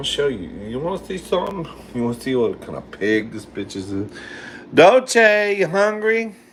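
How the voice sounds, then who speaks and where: A man speaks at a moderate pace in a high, animated voice with very wide pitch swings and big jumps in loudness over noticeable background noise. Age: 50s. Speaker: livestreamer cooking live. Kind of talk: casual livestream chat.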